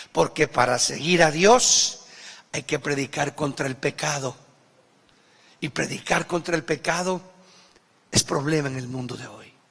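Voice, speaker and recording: The delivery is animated, with big swings in loudness and ordinary pitch variation. Long, frequent pauses break it up over noticeable background noise. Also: man, fairly high pitch for a man. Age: 60s. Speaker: pastor. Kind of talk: sermon.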